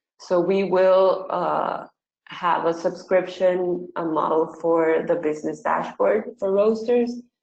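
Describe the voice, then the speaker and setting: A woman speaks at a medium pitch with a Spanish accent. Her pace is very slow and her intonation fairly even. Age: 20s. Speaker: startup CEO. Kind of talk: webinar presentation Q&A.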